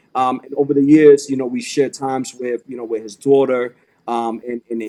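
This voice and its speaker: A man speaks at medium pitch with a dark, mellow tone. His delivery is moderate in pace and monotone, with flat intonation. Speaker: podcast host, motivational speaker and barber. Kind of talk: casual podcast chat. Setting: podcast recording.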